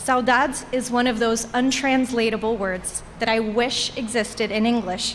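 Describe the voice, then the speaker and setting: A woman's fairly high voice at a moderate pace, with fairly even intonation over noticeable background noise. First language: Portuguese. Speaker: alumni commencement speaker. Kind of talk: commencement speech. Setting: graduation ceremony with audience.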